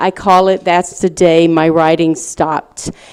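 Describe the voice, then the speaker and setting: A woman with a Southern US accent speaks at a fairly slow pace in a fairly low pitch, with noticeable background noise. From US South, Little Rock, Arkansas. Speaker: speaker, writer. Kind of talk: lecture, personal testimony.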